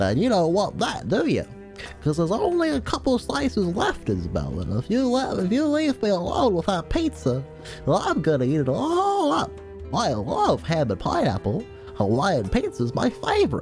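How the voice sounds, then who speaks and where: A booming, put-on character voice at a moderate pace over clear music in the background. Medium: game stream. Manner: cocky, teasing.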